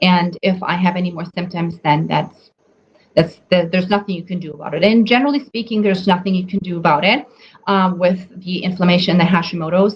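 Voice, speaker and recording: Somewhat breathy, a woman at medium pitch talks at a fairly quick pace with fairly even intonation. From Germany. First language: German. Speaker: nutrition coach. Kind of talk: live webinar talk. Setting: Facebook live stream. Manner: hesitant, many fillers.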